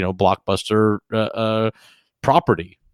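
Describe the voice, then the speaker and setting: On a very clean recording with a silent background and a dry, close sound with no echo, a man with an American accent speaks at a moderate pace with fairly low pitch. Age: 30s. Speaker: podcast co-host and streamer. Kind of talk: casual chat. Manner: halting, many fillers and repetitions.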